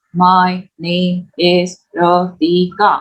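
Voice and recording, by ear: A woman puts on a robotic character voice at medium pitch. Her intonation is monotone and flat.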